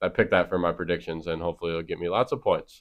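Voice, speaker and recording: A man with a Wisconsin accent has a very deep, low pitch. He speaks at a fairly quick pace. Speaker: sports podcast host. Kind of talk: casual sports chat.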